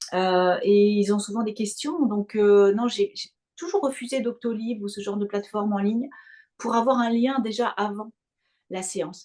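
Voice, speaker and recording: A woman speaks at a fairly slow pace with a fairly high pitch and ordinary pitch variation. Her tone is dark and mellow. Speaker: hypnotherapist and mental coach, opera singer. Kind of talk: interview.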